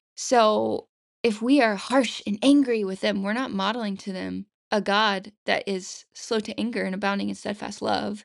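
Against a quiet background, a woman speaks at a moderate pace with a fairly high pitch, the sound dry and close with no echo. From US South. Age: 20s. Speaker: stay-at-home mother. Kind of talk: casual interview chat.

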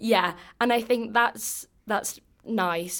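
With an English accent, a woman talks with ordinary pitch variation. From England. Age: 20s. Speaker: exchange student. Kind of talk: casual interview chat.

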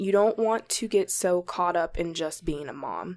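With a fairly low pitch and an unremarkable speaking voice, a woman talks at a moderate pace with fairly even intonation. The recording is very clean, and the background is silent. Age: 20s. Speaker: young mother sharing her story. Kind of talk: interview testimony.

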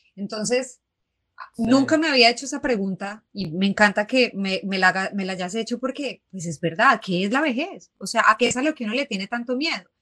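A woman with a normal speaking voice talks at a fairly quick pace. Her pitch is fairly high and her intonation lively. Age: 30s. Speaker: feminist writer and podcaster. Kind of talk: casual conversation. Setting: live show with audience.

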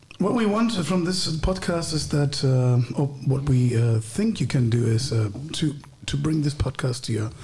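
A man in a German accent, fairly high in pitch, with lively intonation at a moderate pace. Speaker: podcast host. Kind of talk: casual chat.

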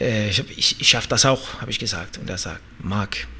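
A man speaks with a Danish accent. His pace is moderate and his pitch variation ordinary. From Denmark. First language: Danish (speaking German). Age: 30s. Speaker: MMA fighter and former Olympic wrestler. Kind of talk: interview. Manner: halting, searching for words.

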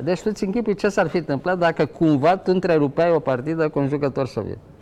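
Talking at a very fast pace with hardly any pauses, a man uses a fairly high pitch and a dark, mellow tone, with ordinary pitch variation. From Romania, Ploiești. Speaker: chess grandmaster. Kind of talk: interview.

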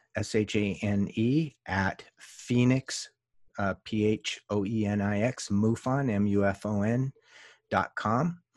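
Recorded very cleanly with a silent background and a dry, close sound with no echo, a man speaks in a fairly low pitch with ordinary pitch variation. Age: 50s. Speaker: UFO investigator. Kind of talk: interview. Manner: halting.

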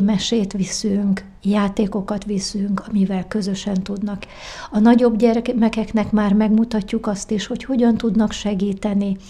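Noticeable background noise sits under a woman speaking at a medium pitch. She talks at a fairly slow pace with monotone, flat intonation. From Hungary, Várpalota. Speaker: president of association for the visually impaired. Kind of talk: interview.

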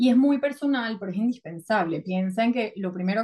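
A woman speaks in a fairly high, somewhat breathy voice at a fairly quick pace, with ordinary pitch variation. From Venezuela. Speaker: psychotherapist. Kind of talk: casual interview.

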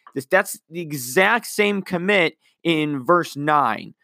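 Bright and sharp in tone, the voice has lively intonation and a fairly slow pace on a very clean recording with a silent background. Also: man. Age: 20s. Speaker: podcast host, Bible teacher. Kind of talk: casual Bible teaching monologue.

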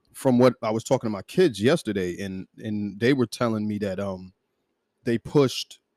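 On a very clean recording with a silent background and a dry, close sound with no echo, a man in an ordinary speaking voice talks at a moderate pace with fairly low pitch and ordinary pitch variation. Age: 40s. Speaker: podcast co-host. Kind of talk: casual chat.

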